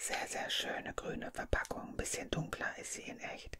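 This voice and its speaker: Whispering and soft-spoken, a woman talks in a gentle tone over light background noise. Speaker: advent calendar unboxing host. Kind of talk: soft-spoken ASMR-style unboxing chat. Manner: gentle ASMR whisper. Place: home room. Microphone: studio mic.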